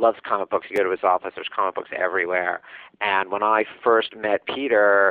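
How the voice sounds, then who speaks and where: This man has an American accent and a fairly low pitch, speaking fairly quickly in a monotone, flat intonation. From US Northeast, New York City. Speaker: TV and comic book writer. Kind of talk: interview. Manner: halting, many fillers.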